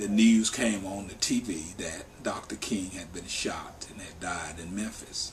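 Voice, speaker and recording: A man with a fairly low pitch is heard through audible room echo and noticeable background noise. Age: 50s. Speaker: worker justice organization staff member. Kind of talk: interview testimony.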